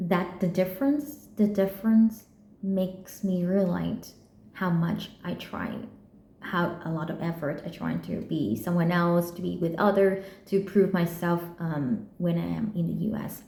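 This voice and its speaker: With audible room echo and noticeable background noise, a woman with a fairly low pitch speaks at a fairly slow pace and ordinary pitch variation. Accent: Vietnamese. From Vietnam. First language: Vietnamese. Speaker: PhD student vlogger. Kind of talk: personal vlog monologue. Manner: halting, with frequent repetitions and fillers.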